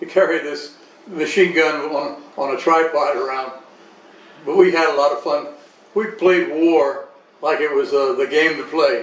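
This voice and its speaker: Noticeable background noise and audible room echo surround this recording. A man speaks with fairly even intonation at a fairly high pitch. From Panama Canal Zone. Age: 80s+. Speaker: interviewee recounting life story. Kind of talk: life story interview. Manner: halting, with repetitions.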